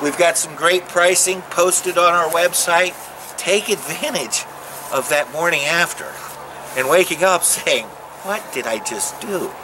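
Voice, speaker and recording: There is noticeable background noise. A man with a high pitch speaks in an upbeat tone at a fairly slow pace. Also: ordinary pitch variation. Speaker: RV salesman. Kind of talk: sales pitch, pitchman-style dealership lot promo. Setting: outdoors on dealership lot. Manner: animated; salesy, upbeat, direct-address patter. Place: open country.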